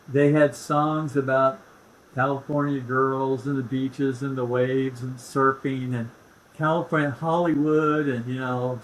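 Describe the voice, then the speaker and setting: Over noticeable background noise, a man with an American accent talks at a fairly slow pace in a monotone, flat intonation. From Indianapolis, Indiana. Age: 70s. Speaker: real estate expert. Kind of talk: casual chat.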